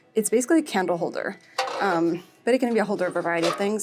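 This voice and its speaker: Music plays behind a woman speaking at a very fast pace. Her pitch is medium, with ordinary variation. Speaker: lifestyle vlogger. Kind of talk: casual shopping vlog. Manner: animated.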